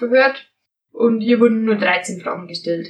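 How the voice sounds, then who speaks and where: The woman's voice is somewhat breathy and fairly high in pitch. Her intonation stays fairly even. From Bavarian Forest, Bavaria. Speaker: podcast host. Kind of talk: podcast storytelling on history. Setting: recording together in one room.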